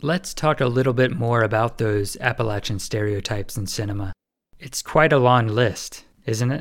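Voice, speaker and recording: A man's normal speaking voice, medium in pitch, with an American accent, ordinary pitch variation and a moderate pace, on a very clean recording with a silent background. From Winston-Salem, North Carolina. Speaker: podcast host. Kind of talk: interview with scripted intro.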